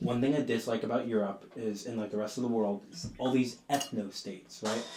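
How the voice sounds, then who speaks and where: A man talks fairly quickly, his pitch varying in an ordinary way, amid noticeable background noise. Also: medium pitch for a man. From Southern California, Mexican-American. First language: Spanish. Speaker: podcast host. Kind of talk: casual conversation.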